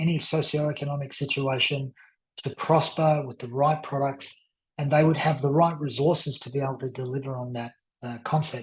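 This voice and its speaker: Speaking at a moderate pace, a man with a fairly high pitch sounds somewhat breathy and uses monotone, flat intonation. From Australia. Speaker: crypto investment presenter. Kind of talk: sales pitch. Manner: hesitant, with fillers.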